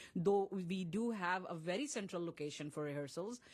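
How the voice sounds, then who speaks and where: A woman with a Pakistani accent, fairly low pitch, ordinary pitch variation and moderate pace. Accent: South Asian (Pakistani) English. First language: Urdu. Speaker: playwright and director. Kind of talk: interview. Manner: halting, with many fillers and repeats.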